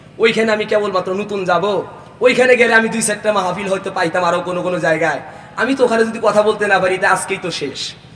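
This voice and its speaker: With noticeable background noise behind him, a man talks in a high pitch with fairly even intonation. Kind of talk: preacher at a religious gathering. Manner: fervent.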